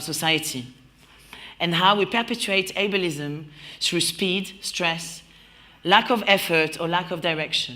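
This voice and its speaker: A woman's bright, sharp voice with a French accent, fairly low in pitch, with ordinary pitch variation and audible room echo. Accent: mild French. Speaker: creative producer and event host. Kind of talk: opening speech at live event. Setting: warehouse venue with audience. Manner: smiling voice.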